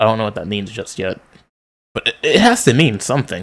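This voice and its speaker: A man talks in a fairly low voice. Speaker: manga reader. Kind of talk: reading aloud with commentary. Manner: monotone.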